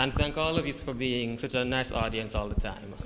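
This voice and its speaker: Behind a man whose pitch rises and falls in an ordinary way, noticeable background noise can be heard. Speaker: college student. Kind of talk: class speech. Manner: halting.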